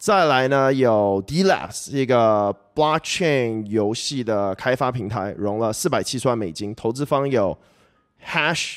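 This man talks at a very slow pace with a medium pitch. His intonation is lively. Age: 20s. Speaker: crypto podcast host. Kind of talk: casual solo commentary. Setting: video recording. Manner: filler-heavy, hesitant.

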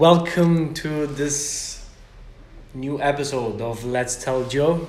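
Over noticeable background noise, a man with a fairly high voice speaks at a very slow pace with fairly even intonation. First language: Italian. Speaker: podcast host. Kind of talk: interview conversation. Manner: halting.

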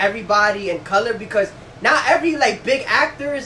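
Raising and projecting his voice, a man with a New York accent speaks in an animated tone with lively intonation over noticeable background noise. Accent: New York City. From Brownsville, Brooklyn, New York. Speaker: podcast co-host. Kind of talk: casual chat. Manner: animated, crude humor.

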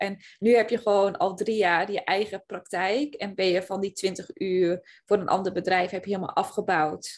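A woman's normal speaking voice at medium pitch, moderate pace and fairly even intonation, over a quiet background. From Zeeland, Netherlands. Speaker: podcast host and business coach. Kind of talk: casual chat.

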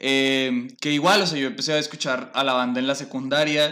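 Here is an ordinary speaking voice from a man. His pitch is medium and his intonation fairly even. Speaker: podcast host. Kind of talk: casual chat.

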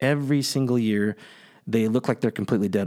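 A man with an ordinary speaking voice, an American accent, medium pitch and ordinary pitch variation, on a very clean recording with a silent background. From US West Coast (Central Valley, California). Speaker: podcast host, business coach and app founder. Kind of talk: solo podcast monologue. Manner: casual, conversational.

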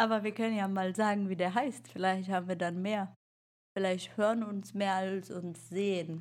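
A woman with a normal speaking voice, medium pitch, fairly even intonation and a moderate pace. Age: 30s. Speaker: podcast co-host, mother. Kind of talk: casual chat. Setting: video call.

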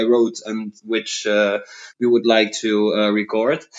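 A man talks with a Dutch accent. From Netherlands. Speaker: rock drummer. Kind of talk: interview. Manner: halting.

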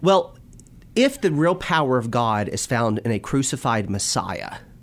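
A man speaks at a medium pitch with lively intonation. It is a normal speaking voice. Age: 20s. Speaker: minister and youth teacher. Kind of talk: religious discussion.

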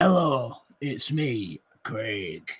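This man performs in a put-on character voice. It lands at a medium pitch.

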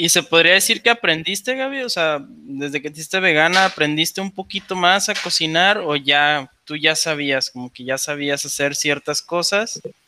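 A man's fairly high, bright, sharp voice at a moderate pace, with lively intonation, big swings in loudness and hardly any pauses. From Mexico, La Laguna (Torreón). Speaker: podcast co-host. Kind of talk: casual interview.

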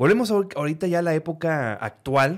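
The recording is very clean, its background silent. The speaker is a man. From northern Mexico, Reynosa, Tamaulipas. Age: 30s. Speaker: podcast host. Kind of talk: casual chat.

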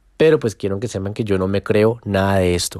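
In a very clean recording with a silent background, a man with a fairly low pitch and a dark, mellow tone speaks with fairly even intonation. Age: 20s. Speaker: football social media account owner. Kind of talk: casual podcast monologue.

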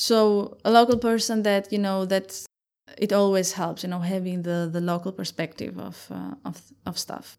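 A woman's medium-pitched voice in an Albanian accent, fairly even intonation and big swings in loudness, on a very clean recording with a silent background. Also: moderate pace. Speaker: startup founder. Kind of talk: interview.

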